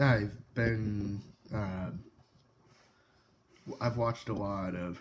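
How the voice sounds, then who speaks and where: A quiet man at a fairly low pitch, speaking at a very slow pace. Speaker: tech YouTuber. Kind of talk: casual tech review talk. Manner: hesitant, many filler words.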